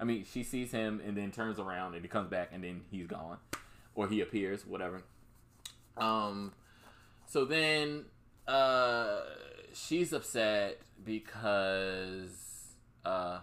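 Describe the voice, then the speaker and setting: Using a bright, sharp tone, a man talks at a very slow pace with long, frequent pauses and ordinary pitch variation. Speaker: podcast host. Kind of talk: casual chat. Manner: rambling, filler-heavy.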